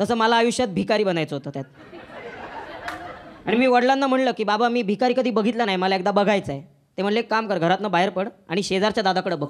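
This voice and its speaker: Crowd noise fills the background as a man speaks in a high voice. His pitch variation is ordinary. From Pune. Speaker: stand-up comedian. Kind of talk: live stand-up comedy set. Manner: sarcastic, witty.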